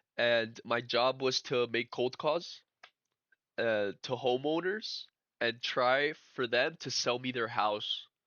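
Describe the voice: This man speaks slowly at a medium pitch with ordinary pitch variation and a bright, sharp tone, in a dry, close sound with no echo.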